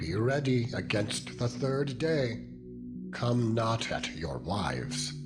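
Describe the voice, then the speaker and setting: Through loud background noise, a man uses a put-on character voice at a medium pitch, speaking very slowly. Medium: audio drama.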